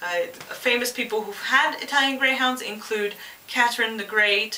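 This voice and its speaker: A woman speaks with a slight French Canadian accent at a moderate pace, her fairly high pitch showing ordinary pitch variation. Audible room echo and noticeable background noise fill the recording. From Quebec, Canada. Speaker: pet product reviewer. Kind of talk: casual vlog introduction. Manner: hesitant, many fillers.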